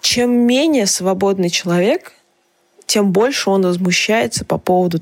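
A woman talks at a fairly slow pace. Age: 20s. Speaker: journalist and podcast host. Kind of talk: personal monologue column. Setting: home recording in small apartment.

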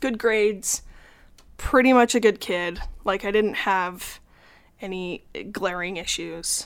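With an American accent, a woman of medium pitch and ordinary pitch variation talks at a very slow pace with long, frequent pauses on a very clean recording with a silent background. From Utah, Salt Lake City. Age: 30s. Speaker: podcast guest sharing life story. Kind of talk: personal testimony in casual interview. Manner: halting, with fillers and repetitions.

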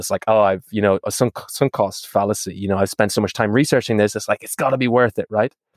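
A man with an Irish accent talks at a very fast pace in a fairly low pitch. The sound is dry and close, with no echo. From Ireland. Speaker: startup founder. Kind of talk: casual chat. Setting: video call.

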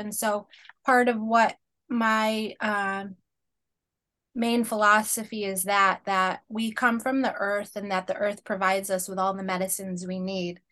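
A woman speaks at a fairly slow pace with a fairly high pitch and an American accent. Her tone is bright and sharp. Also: quiet background. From Springfield, Massachusetts, US. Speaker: naturopathic doctor. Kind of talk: interview.

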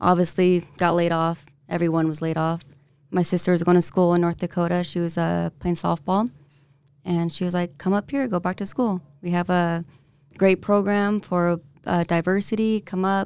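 A normal speaking voice: a woman at a fairly low pitch, fairly even intonation and moderate pace, on a very clean recording with a silent background. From San Diego, California. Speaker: real estate agent. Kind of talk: casual interview. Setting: studio.

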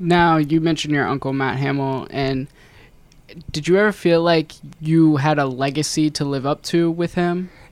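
An ordinary speaking voice with an American accent, fairly even intonation and a moderate pace. The recording is very clean, with a silent background. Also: man, fairly high pitch for a man. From Ohio, US (Loveland, near Cincinnati). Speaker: podcast host. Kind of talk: casual chat.

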